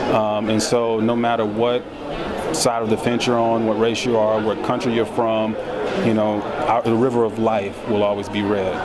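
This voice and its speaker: Loud background noise sits under speech at a moderate pace. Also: man. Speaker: film director. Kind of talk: red carpet interview. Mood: thoughtful, earnest. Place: hall. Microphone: handheld.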